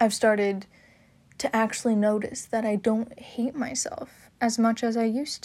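A woman talks at a moderate pace with a fairly high pitch and ordinary pitch variation. It is an unremarkable speaking voice. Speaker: podcast host. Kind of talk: solo podcast monologue, personal talk. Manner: casual, candid.

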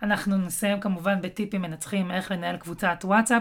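At a moderate pace, a woman with a medium-pitched, somewhat breathy voice speaks. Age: 30s. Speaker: podcast host, digital marketing consultant. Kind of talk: solo podcast talk.

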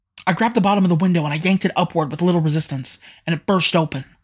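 The speech comes at a very fast pace on a very clean recording with a silent background. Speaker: narrator and voice actor. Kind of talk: dramatic first-person audio fiction narration.

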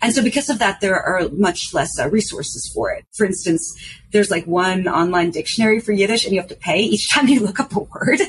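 Speaking with a New York accent, a woman uses a medium pitch, lively intonation and a fairly quick pace. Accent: New York American English. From New York City. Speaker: artist and journalist. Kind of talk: casual chat.

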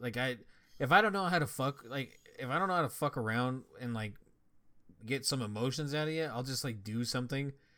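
A man's very fast speech in a bright, sharp tone, on a very clean recording with a silent background. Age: 20s. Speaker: podcast co-host. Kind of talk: casual chat.

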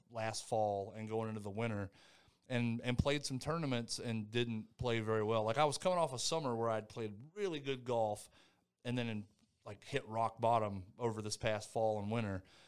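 Speaking with an American accent, a man uses an unremarkable speaking voice at medium pitch, ordinary pitch variation and a moderate pace. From North Carolina, Thomasville. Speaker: retired army soldier. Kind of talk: interview.

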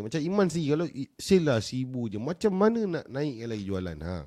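Animated in tone, a man talks at a moderate pace with very wide pitch swings against a quiet background. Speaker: live stream host, entrepreneur coach. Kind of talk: casual live stream chat.

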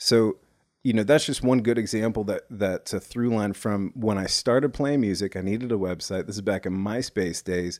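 Heard dry and close with no echo on a very clean recording with a silent background, a man with an unremarkable speaking voice talks at a moderate pace and a fairly low pitch with ordinary pitch variation. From US South, Nashville. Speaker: executive producer and musician. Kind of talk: casual chat.

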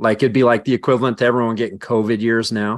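A man talks at medium pitch. The background is quiet. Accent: Western Canadian. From rural southern British Columbia, Canada. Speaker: strength coach and law enforcement officer, former hammer thrower. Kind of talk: casual interview conversation. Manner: long-winded.

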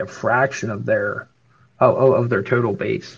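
This man's voice is somewhat breathy as he goes along at a moderate pace. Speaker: NFT collector. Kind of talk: casual chat. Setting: live audio room online.

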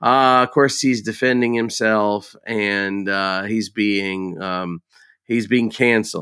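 Speaking at a very slow pace, a man has a bright, sharp tone and fairly even intonation. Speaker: horror podcast co-host. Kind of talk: casual chat.

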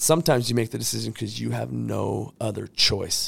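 A man's voice, medium in pitch, moves along at a moderate pace. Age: 30s. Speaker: motivational podcast host, entrepreneur. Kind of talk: motivational monologue. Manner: animated.

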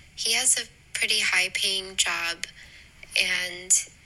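Speaking at a very slow pace, a woman is heard over noticeable background noise. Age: 20s. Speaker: listener sending voice note. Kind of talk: voice message.

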